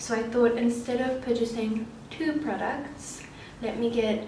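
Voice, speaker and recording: A soft-spoken woman talks at a fairly slow pace. Audible room echo and noticeable background noise surround her. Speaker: beauty vlogger. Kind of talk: casual vlog talk. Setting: bathroom at home. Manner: soft-spoken, quiet. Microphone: camera mic, no external microphone, quiet.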